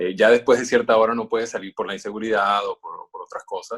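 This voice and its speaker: A man speaks at a moderate pace, his voice recorded dry and close with no echo. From Venezuela. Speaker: voice-over announcer. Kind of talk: interview. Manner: hesitant, many fillers.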